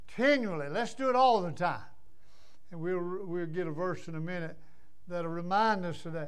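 Speaking at a moderate pace with an American accent, a man uses a high pitch and long, frequent pauses. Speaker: pastor. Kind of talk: sermon. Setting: church. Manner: animated.

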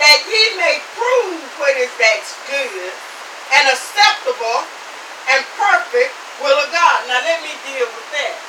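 Over noticeable background noise, a woman projects a raised voice at a high pitch and a very slow pace. Her loudness swings a lot, and her pitch swings very widely. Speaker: preacher. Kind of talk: sermon, preached live to a tent congregation. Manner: fervent, rhythmic and exclamatory, with repeated 'Amen' and thinking-aloud fillers.

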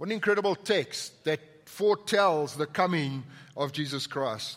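Speaking at a fairly slow pace, a man with a South African accent uses lively intonation. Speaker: pastor. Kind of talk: sermon. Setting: church.

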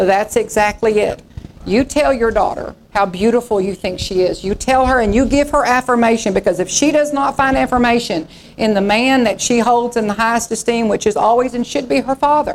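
With a Texas accent, a woman speaks at a fairly quick pace with ordinary pitch variation. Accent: Southern US (Texas). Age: 50s. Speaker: pastor. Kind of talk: revival sermon, impassioned preaching to a congregation with call-and-response amens. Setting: church. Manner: fervent, exhortative, repetitive emphatic phrases; conversational and folksy with laughs.

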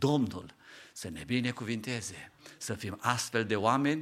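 In a plain, everyday voice, a man speaks at a medium pitch with ordinary pitch variation. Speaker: preacher. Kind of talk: sermon. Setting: church.

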